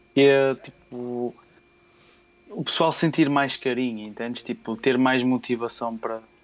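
This man has an unremarkable speaking voice at a medium pitch. He talks at a fairly slow pace with fairly even intonation. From northern Portugal, Porto area. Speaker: beatmaker. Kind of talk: interview.

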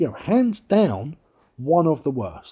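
At a fairly slow pace, a man with a dark, mellow tone makes very wide pitch swings on a very clean recording with a silent background. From London, England. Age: 30s. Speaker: podcast host. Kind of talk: solo monologue rant. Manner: animated.

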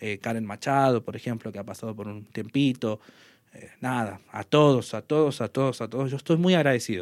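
Big swings in loudness mark this man's plain, everyday voice, which has a medium pitch, ordinary pitch variation and a fairly quick pace. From northern Argentina, Salta province. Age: 30s. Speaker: sports journalist and radio commentator. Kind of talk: casual interview.

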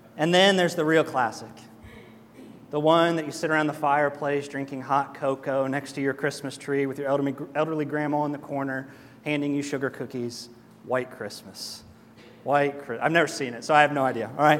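Audible room echo surrounds a man speaking at a fairly quick pace. His voice is fairly high, with fairly even intonation. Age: 30s. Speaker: pastor. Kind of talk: sermon. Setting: church. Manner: casual and joking.

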